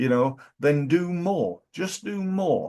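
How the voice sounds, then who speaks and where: Speaking with a British accent, a man is heard over a quiet background. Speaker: business coach. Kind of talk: business advice talk. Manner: halting.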